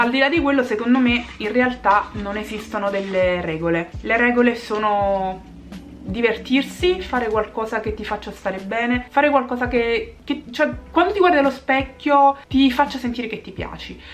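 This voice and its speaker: Light background noise sits behind a woman whose fairly high voice has lively intonation at a moderate pace. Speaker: beauty vlogger. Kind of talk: casual chat. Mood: warm, upbeat. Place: home room. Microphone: phone near.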